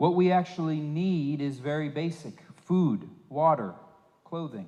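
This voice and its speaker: A very slow pace, a dark, mellow tone, ordinary pitch variation and audible room echo. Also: man, fairly high pitch for a man. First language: English (speaking Spanish). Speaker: visiting preacher. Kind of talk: sermon. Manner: halting.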